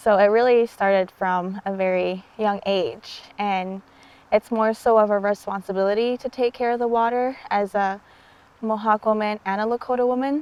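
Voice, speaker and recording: At a moderate pace, a woman talks in an unremarkable speaking voice, fairly high in pitch with fairly even intonation. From Six Nations reserve, Ontario, Canada. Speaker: water activist. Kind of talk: documentary interview. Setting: outdoors by a river.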